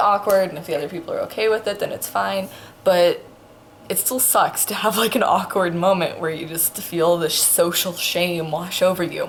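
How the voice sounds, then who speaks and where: A woman's quiet voice at medium pitch, fairly quick in pace, with ordinary pitch variation and noticeable background noise. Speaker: vlogger. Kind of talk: casual storytelling vlog.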